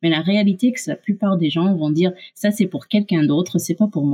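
A woman speaks at a moderate pace with a slight North American accent and a fairly low pitch. Her tone is dark and mellow, somewhat breathy, with ordinary pitch variation. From Canada and the USA. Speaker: startup co-founder. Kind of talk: interview. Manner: halting, with repetitions.

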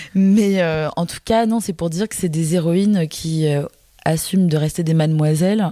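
A woman with a fairly low pitch and a dark, mellow tone talks at a fairly slow pace in fairly even intonation. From France, Marseille. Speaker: singer and DJ. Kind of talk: interview. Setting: studio.

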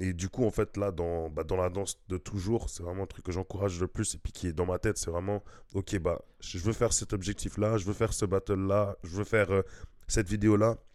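In a very clean recording with a silent background, a man with a fairly low pitch talks at a fairly quick pace in a monotone, flat delivery. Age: 20s. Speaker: hip-hop dancer. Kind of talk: casual interview. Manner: hesitant, many fillers.

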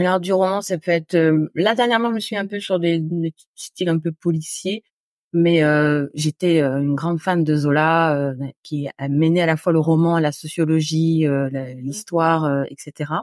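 The woman's fairly low voice moves at a fairly slow pace with ordinary pitch variation, in a dry, close sound with no echo. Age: 40s. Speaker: podcaster and home organizing expert. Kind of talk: casual chat. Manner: hesitant, many fillers.

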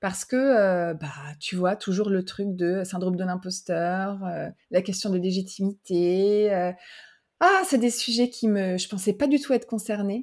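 A woman with a plain, everyday voice talks at a fairly slow pace and medium pitch, with ordinary pitch variation, on a very clean recording with a silent background. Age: 40s. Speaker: podcast host and brand consultant. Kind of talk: interview conversation. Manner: casual, with fillers.

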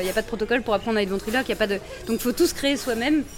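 A woman with a fairly high pitch at a very fast pace, amid noticeable background noise. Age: young. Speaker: ventriloquist. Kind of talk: interview. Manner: casual and animated.

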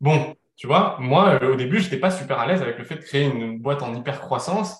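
A man with a fairly high, somewhat breathy voice speaks at a fairly quick pace with lively intonation. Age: 30s. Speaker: entrepreneur. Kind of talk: podcast interview. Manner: hesitant with many fillers.

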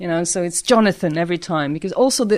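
Heard on a very clean recording with a silent background, a woman with a French accent speaks with ordinary pitch variation. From Monaco. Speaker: interpreter. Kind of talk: interview.

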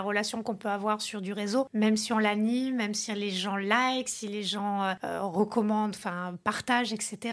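In a very clean recording with a silent background, a woman speaks at a fairly high pitch with monotone, flat intonation. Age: 50s. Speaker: interior decorator and business owner. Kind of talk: interview. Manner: halting.

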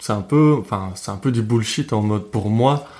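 A man speaks with a dark, mellow tone. His pitch varies an ordinary amount. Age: 20s. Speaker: podcast guest. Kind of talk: casual chat.

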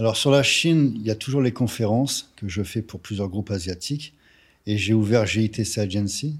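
A man speaks at a moderate pace in a fairly low pitch with ordinary pitch variation. It is a normal speaking voice. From France, provincial town. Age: 30s. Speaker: entrepreneur. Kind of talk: casual interview.

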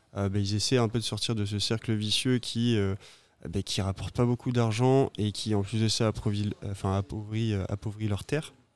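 Recorded very cleanly against a silent background, with a dry, close sound and no echo, a man in an unremarkable speaking voice talks at a moderate pace, fairly low in pitch and with fairly even intonation. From southwest France (Pau). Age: 30s. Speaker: brewer. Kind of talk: casual chat.

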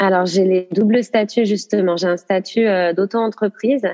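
The woman's intonation is fairly even. Her pitch lands in the medium range. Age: 30s. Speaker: dance teacher. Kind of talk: interview.

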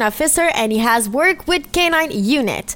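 This woman has a high pitch. Her intonation is lively. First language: French. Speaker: podcast host. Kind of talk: casual chat.

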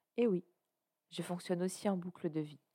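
A woman's fairly low, dark, mellow voice at a fairly quick pace, in a dry, close sound with no echo. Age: 50s. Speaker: podcaster. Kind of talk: personal storytelling monologue.

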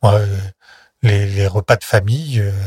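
A fairly quick, somewhat breathy delivery with ordinary pitch variation, in a dry, close sound with no echo. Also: man. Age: 50s. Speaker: former political aide and member of European Parliament. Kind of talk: interview testimony. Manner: halting.

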